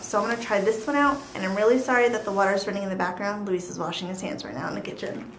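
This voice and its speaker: Ordinary pitch variation marks this woman's speech. Light background noise and audible room echo surround her. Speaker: beauty vlogger. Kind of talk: casual vlog chat. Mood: cheerful, excited. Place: home room. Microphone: camera far.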